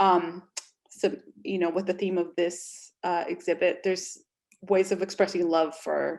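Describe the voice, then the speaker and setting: With a Spanish accent, this woman is talking. She keeps a moderate pace. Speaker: panel moderator. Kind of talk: online panel discussion.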